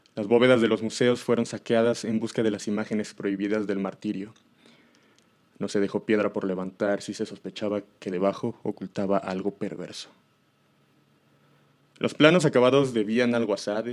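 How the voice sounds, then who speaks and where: At a moderate pace broken by long, frequent pauses, a man speaks with a fairly low pitch. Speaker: horror story narrator. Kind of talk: horror story narration.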